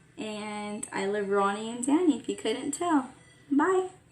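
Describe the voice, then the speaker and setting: There is noticeable background noise behind the speaker. She is a woman with a high-pitched voice. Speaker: vlogger. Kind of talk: casual vlog talk. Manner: fast; stuttering.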